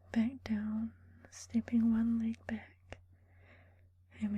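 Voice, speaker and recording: This soft-spoken voice moves at a very slow pace. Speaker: ASMR creator. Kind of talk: guided yoga session.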